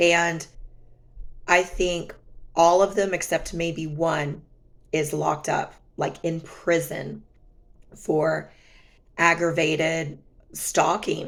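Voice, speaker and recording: A woman's fairly low voice with vocal fry, monotone, flat intonation, a very slow pace and long, frequent pauses. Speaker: vlogger sharing personal relationship experiences. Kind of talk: casual storytelling vlog.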